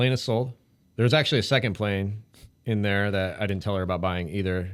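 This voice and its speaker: In a very clean recording with a silent background, a man speaks quietly at a fairly quick pace in a fairly low pitch. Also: ordinary pitch variation. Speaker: firefighter and pilot. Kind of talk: podcast interview.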